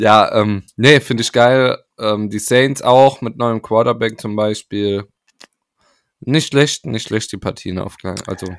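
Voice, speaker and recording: A man at medium pitch, fairly even in intonation and very slow in pace. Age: 30s. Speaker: podcast co-host. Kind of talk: casual chat.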